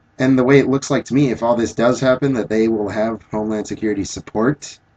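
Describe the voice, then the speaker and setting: A man mumbles at a very fast pace in a dark, mellow tone, recorded with a dry, close sound and no echo. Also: medium pitch for a man. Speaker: vlogger. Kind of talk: video response monologue. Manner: mumbling; halting.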